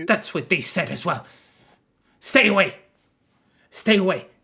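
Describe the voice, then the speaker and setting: A raspy, put-on character voice at a middle pitch speaks at a moderate pace. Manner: fearful, warning.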